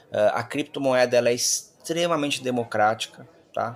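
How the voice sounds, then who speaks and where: A man's voice at a fairly slow pace, with ordinary pitch variation. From Brazil. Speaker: company founder and CEO. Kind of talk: interview. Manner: halting, with repetitions.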